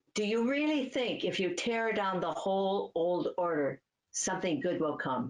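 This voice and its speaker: In a Midwestern accent, a woman at medium pitch makes very wide pitch swings while keeping her loudness very even. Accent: American Midwest. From US Midwest, Cleveland, Ohio. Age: 80s+. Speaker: author. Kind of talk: interview.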